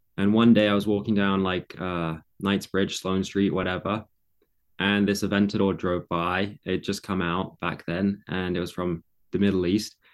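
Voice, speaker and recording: A man with a very deep, low pitch speaks at a moderate pace in a monotone, flat way, in a very clean recording with a silent background. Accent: southern English. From England. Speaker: content creator. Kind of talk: interview conversation.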